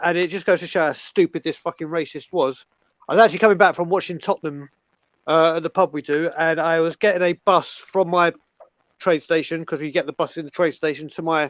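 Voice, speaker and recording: A man with a British accent, high pitch, fairly even intonation and a fairly quick pace, in a dry, close sound with no echo. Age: 40s. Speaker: football fan. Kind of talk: casual chat.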